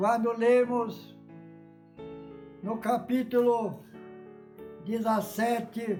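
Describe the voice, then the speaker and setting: With music in the background, a man with an extremely high voice speaks monotonously and flatly at a very slow pace, leaving long, frequent pauses. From Brazil. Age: 80s+. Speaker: Baptist preacher. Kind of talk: sermon.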